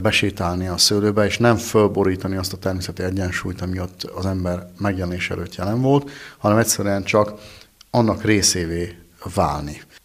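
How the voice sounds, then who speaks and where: An ordinary speaking voice, a man at a fairly slow pace with fairly even intonation. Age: 40s. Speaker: winemaker. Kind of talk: interview.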